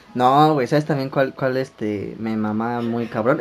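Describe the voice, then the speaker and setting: Ordinary pitch variation marks a man's moderately paced speech. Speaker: podcast host. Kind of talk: casual chat. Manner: animated.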